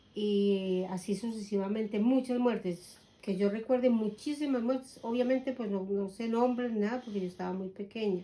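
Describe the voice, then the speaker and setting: A woman with a fairly high voice keeps a moderate pace with hardly any pauses and fairly even intonation while noticeable background noise plays behind her. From Colombia. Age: 60s. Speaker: grandmother interviewed about her life. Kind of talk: oral history interview.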